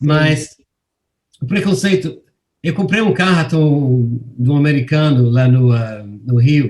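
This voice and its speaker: A man's fairly high, somewhat breathy voice at a very slow pace, lively in intonation, very even in loudness, with long, frequent pauses. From England. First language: English (speaking Portuguese). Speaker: journalist. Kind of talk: interview. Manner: halting, frequent repetitions.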